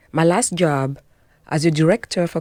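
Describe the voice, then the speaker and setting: A woman with a French accent and a fairly low pitch talks at a moderate pace with ordinary pitch variation, on a very clean recording with a silent background and a dry, close sound with no echo. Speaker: health and wellness coach. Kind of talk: interview. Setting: studio.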